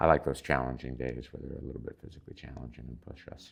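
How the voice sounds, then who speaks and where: The voice runs at a fairly quick pace with monotone, flat intonation and vocal fry. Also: man. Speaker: retired physician, Habitat volunteer. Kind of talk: interview answer. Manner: hesitant, many fillers.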